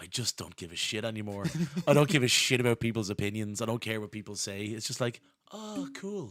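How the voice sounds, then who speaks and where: Speaking at a fairly quick pace, a man talks with a Dublin accent. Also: medium pitch for a man, ordinary pitch variation. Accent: Irish (Dublin). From Ireland. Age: 40s. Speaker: historian. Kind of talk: casual chat. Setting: live-streamed podcast.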